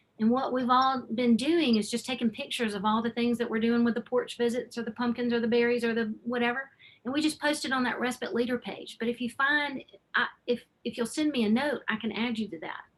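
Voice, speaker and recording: Speaking with an Alabama accent, a woman talks at a fairly quick pace. Her pitch is high. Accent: Southern US (Alabama). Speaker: nonprofit respite program founder. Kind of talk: webinar presentation. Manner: animated.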